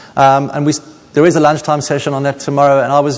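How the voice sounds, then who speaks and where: Noticeable background noise runs under the recording. A man with a fairly high voice talks at a very fast pace. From South Africa, Cape Town. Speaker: paediatrician. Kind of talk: conference talk.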